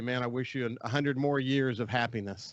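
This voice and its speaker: Here a man talks in a plain, everyday voice of medium pitch. His intonation stays fairly even. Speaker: radio outdoors show host. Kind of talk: radio interview.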